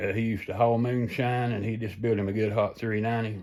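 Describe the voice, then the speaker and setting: A medium-pitched man with a Southern US accent. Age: 60s. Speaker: home mechanic and car hobbyist. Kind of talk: casual workshop vlog. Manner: casual, folksy with many fillers.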